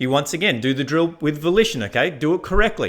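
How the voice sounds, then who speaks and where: An ordinary speaking voice runs at a fairly quick pace with lively intonation. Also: man. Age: 50s. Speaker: fitness and productivity coach. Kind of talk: motivational talk. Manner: casual, conversational.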